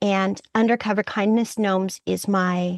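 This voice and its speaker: A woman's plain, everyday voice, medium in pitch, at a fairly slow pace with ordinary pitch variation, in a dry, close sound with no echo over a quiet background. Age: 60s. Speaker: retiree returning to college, community theater actor. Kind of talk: interview conversation. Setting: public library, remote call.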